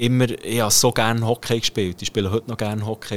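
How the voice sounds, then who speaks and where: Recorded very cleanly with a silent background and a dry, close sound with no echo, a man talks in a flat monotone at a medium pitch and a moderate pace. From Switzerland, Bern. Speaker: professional ice hockey player. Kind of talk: interview. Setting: locker room.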